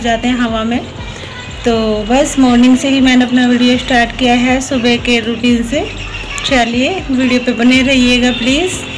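A woman's high-pitched, monotone voice with flat intonation over music in the background. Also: fairly slow pace. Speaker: home vlogger. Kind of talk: casual vlog chat. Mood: cheerful, smiling. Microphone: phone near.

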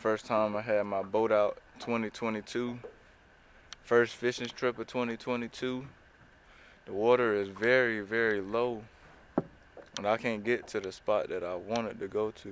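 A man speaks in a monotone, flat way with long, frequent pauses. Noticeable background noise runs underneath. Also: fairly slow pace, dry sound with no echo. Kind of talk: casual vlog chat. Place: boat. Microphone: phone near.

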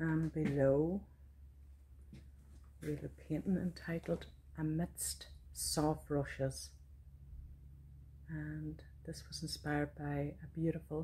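A woman speaks with a Donegal Irish accent at a very slow pace. Long, frequent pauses fall between her words over light background noise. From Donegal, Ireland. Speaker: visual artist and poet. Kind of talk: casual studio tour talk to camera. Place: workshop. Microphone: phone near.

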